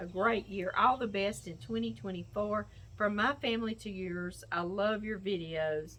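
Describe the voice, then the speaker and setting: Her pitch is medium and swings very widely, with vocal fry throughout. The woman speaks at a very slow pace. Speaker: cooking channel host, cattle farmer. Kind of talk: casual chat, opening viewer mail.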